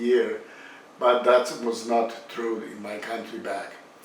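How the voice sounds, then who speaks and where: Through audible room echo and noticeable background noise, a man is heard. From Bosnia and Herzegovina. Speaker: home cook video creator. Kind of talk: cooking tutorial. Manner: halting, many fillers.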